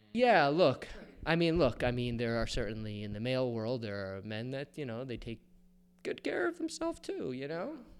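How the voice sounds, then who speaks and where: With an unremarkable speaking voice, a man keeps a moderate pace and medium pitch, his pitch varying in an ordinary way. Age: 40s. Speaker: photographer. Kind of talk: casual chat.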